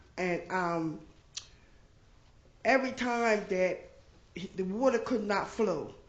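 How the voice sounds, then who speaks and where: Speaking at a very slow pace with long, frequent pauses, a woman shows ordinary pitch variation amid audible room echo. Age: 60s. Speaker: resident giving public comment. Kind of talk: public comment at council meeting. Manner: halting, many fillers.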